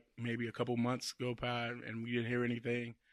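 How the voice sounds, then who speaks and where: A man speaking at a fairly quick pace in an American accent. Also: very clean recording, silent background. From Chicago. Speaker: actor. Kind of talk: casual chat. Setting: studio.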